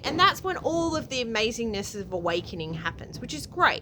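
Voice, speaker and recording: Against noticeable background noise, a woman speaks in an animated tone, her pitch making very wide swings. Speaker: spiritual vlogger. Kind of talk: casual monologue.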